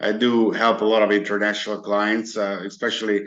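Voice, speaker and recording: The tone is bright and sharp, with a Hungarian accent. Delivery is fairly quick, with monotone, flat intonation. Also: man. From Hungary. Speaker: merchant services broker. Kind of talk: interview. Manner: halting, many fillers.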